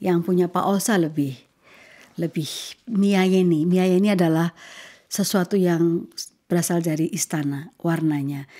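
Over a quiet background, a woman with a fairly low pitch and a dark, mellow tone speaks at a fairly slow pace, with fairly even intonation, very even loudness and long, frequent pauses. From Indonesia. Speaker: ambassador hosting a podcast. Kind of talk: interview. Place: home room. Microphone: studio mic.

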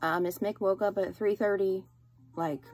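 Faint music plays behind a woman with a fairly low pitch. She speaks at a fairly slow pace with ordinary pitch variation. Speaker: teacher. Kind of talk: casual vlog chat. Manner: tired, ill voice after coughing night. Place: home room. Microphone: phone near.

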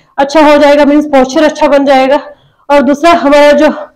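Against a quiet background, a woman speaks at a moderate pace. Her pitch is high. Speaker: fitness instructor. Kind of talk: tutorial. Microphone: lapel.

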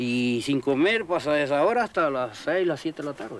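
Lively intonation marks this man's speech. His pitch sits fairly high. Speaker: crab fisherman. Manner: casual, colloquial.

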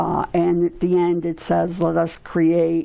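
A woman with a fairly low pitch. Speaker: pastor. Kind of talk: informal bible talk. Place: home room. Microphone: lapel.

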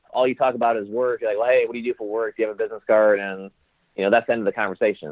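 A man of medium pitch with an American accent and fairly even intonation. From Indiana, USA. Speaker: entrepreneur, social club founder. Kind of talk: interview answer.

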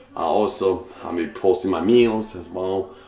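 A man speaks at a moderate pace over light background noise, with audible room echo. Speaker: fitness vlogger. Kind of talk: casual vlog chat. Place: kitchen. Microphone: phone near.

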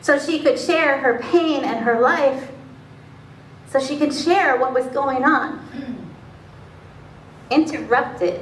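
A woman with a high pitch speaks at a very slow pace with long, frequent pauses, amid audible room echo and light background noise. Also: ordinary pitch variation. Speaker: pastor. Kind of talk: spoken word sermon. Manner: conversational, personal anecdote. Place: church. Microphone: camera far.

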